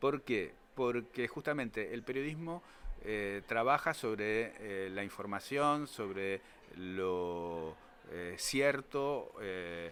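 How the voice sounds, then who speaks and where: In a Rioplatense accent, a man speaks at a very slow pace. His medium pitch carries lively intonation. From Argentina, Buenos Aires (Pompeya). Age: 60s. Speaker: writer and journalist. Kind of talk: interview. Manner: halting, many fillers.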